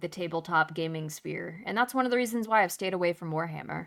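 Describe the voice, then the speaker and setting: The recording is very clean, with a silent background, and features a woman with a fairly low pitch. She has a plain, everyday voice with ordinary pitch variation. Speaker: streamer. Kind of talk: casual chat. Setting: live stream.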